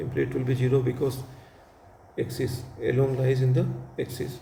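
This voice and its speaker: A man at medium pitch talks at a fairly quick pace in a dark, mellow tone with vocal fry and monotone, flat intonation, with audible room echo. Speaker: physics teacher. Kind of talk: lecture. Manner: fast.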